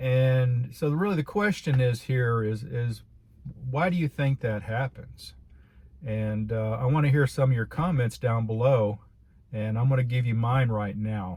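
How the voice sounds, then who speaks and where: At a fairly slow pace, a man with a medium-pitched, somewhat breathy voice speaks with ordinary pitch variation. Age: 60s. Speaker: video blogger sharing life reflections. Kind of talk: casual monologue to camera. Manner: halting, with many repetitions and fillers.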